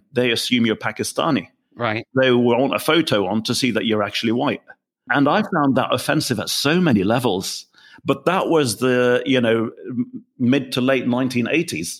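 A man talks at a moderate pace with very even loudness. The recording is very clean, with a silent background. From England. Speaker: business consultant. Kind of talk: interview.

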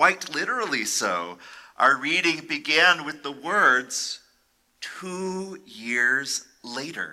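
A man with a fairly high pitch and a bright, sharp tone speaks at a very slow pace. His intonation is lively, with big swings in loudness. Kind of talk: dramatic sermon narration, retelling a violent biblical story. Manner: hushed, deliberate, grave storytelling with suspenseful pauses; solemn, vividly expressive, building tension.

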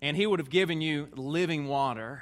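This man has a Southern US accent. He speaks at a moderate pace. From Tennessee, US South. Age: 30s. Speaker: visiting preacher. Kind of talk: sermon. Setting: church stage with audience.

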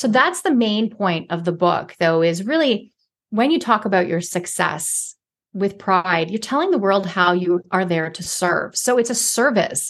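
Using a normal speaking voice with a Canadian accent, a woman talks fairly slowly at a medium pitch with lively intonation against a quiet background. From Canada, inner city Toronto. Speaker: author and former TV reporter. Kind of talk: interview.

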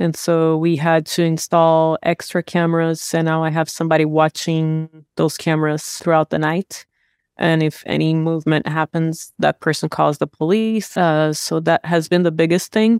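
With hardly any pauses and very even loudness, a woman speaks in a very deep, low voice and monotone, flat intonation, in a very clean recording with a silent background and a dry, close sound with no echo. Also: moderate pace. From Brazil. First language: Portuguese. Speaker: real estate investor. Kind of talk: interview.

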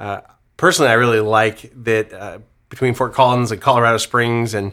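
On a very clean recording with a silent background, a man with an American accent speaks at a moderate pace and medium pitch, his bright, sharp tone held to a flat monotone. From Central Valley, California (Modesto). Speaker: real estate investor, podcast co-host. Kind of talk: casual business discussion.

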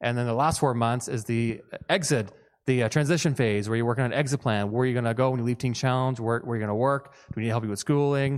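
Against a quiet background, a man with a medium-pitched voice talks at a very fast pace with fairly even intonation. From Newfoundland. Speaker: director of addiction recovery program. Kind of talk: church presentation. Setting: church service.

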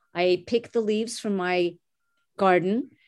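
A woman's voice at medium pitch, with fairly even intonation. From Montreal, Canada. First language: French. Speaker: executive recruiter. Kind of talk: interview.

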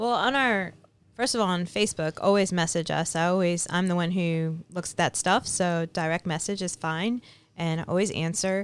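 In a very clean recording with a silent background, a woman with an unremarkable speaking voice talks at a moderate pace, her pitch fairly low with ordinary variation. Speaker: race organizer. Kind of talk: interview. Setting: outdoors.

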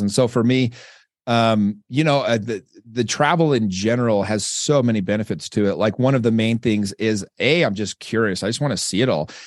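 With a Western US accent, a man talks at a fairly quick pace against a quiet background. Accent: American, Western US. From Utah. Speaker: entrepreneur and real estate investor. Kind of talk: casual interview. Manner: relaxed, filler-heavy with repetitions.

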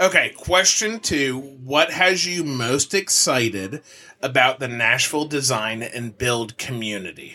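With music in the background, a man speaks at a fairly slow pace with lively intonation. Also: medium pitch for a man. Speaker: podcast host. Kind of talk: casual interview. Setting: live event in a showroom, party.

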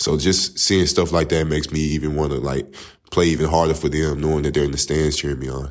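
Vocal fry colors this very fast delivery in an East Texas accent with fairly even intonation. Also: man, very deep, low pitch for a man. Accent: East Texas Southern US. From East Texas, Tyler. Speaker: college basketball player. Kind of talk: interview.

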